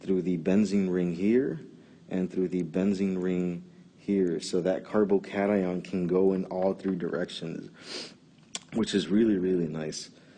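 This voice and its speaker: A man with a very deep, low pitch speaks in a monotone, flat way at a fairly slow pace. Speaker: chemistry tutor. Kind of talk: educational lecture explaining a mechanism. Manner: occasional stutter.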